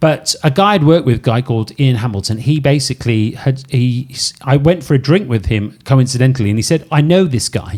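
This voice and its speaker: A man with a slight Welsh accent speaks at a fairly quick pace with hardly any pauses. His voice is somewhat breathy, and his intonation is lively. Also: medium pitch for a man. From Wales, Cardiff. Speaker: podcast host, former cruise ship DJ. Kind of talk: casual chat. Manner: animated.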